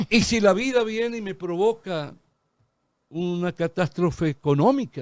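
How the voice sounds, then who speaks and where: A man talks at a fairly slow pace, high in pitch with lively intonation. The recording is very clean with a silent background and a dry, close sound with no echo. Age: 70s. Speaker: lawyer and political analyst. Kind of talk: TV talk show interview.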